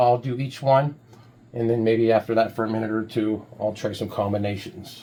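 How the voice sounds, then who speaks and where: This man has a dark, mellow tone at medium pitch, speaking at a moderate pace with fairly even intonation. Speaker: music producer demonstrating a plugin. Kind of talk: tutorial. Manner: casual, hesitant with fillers; loud. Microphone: mic very close.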